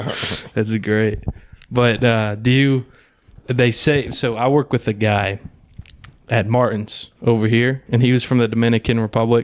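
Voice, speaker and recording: Speaking at a fairly slow pace with long, frequent pauses, a man with an American accent holds a medium pitch and a monotone, flat intonation. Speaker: podcast host. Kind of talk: casual chat.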